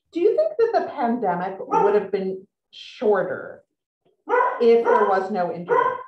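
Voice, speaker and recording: A woman talks at a fairly slow pace, with audible room echo. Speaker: author and magazine writer, interviewer; interviewer. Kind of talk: author interview. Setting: video call. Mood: warm, lively. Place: home room. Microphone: video call.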